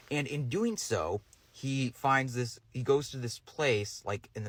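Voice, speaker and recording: At a very slow pace, a man with a medium-pitched voice speaks in a bright, sharp tone. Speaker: movie reviewer. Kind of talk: casual review monologue. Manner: halting, many fillers and restarts.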